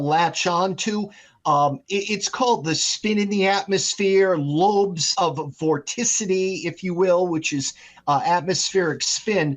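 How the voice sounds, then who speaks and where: A man speaks at a fairly slow pace. His voice is high in pitch. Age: 60s. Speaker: meteorologist. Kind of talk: podcast interview.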